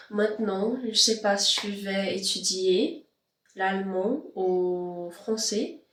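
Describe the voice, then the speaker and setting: At a very slow pace, a woman speaks at medium pitch with ordinary pitch variation. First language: not French (speaking French). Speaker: vlogger and language learner. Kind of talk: casual vlog. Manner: halting, many hesitations.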